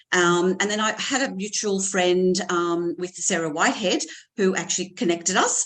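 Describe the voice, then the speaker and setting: A woman at a medium pitch and moderate pace, with fairly even intonation. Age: 60s. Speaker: weight loss client. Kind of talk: testimony. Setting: video call from hospital.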